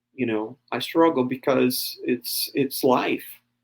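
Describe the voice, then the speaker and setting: A man talks with a Brazilian accent. His pace is fairly slow. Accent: Brazilian, jokes it is Texan. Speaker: pastor. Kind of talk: podcast interview. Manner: hesitant, many fillers.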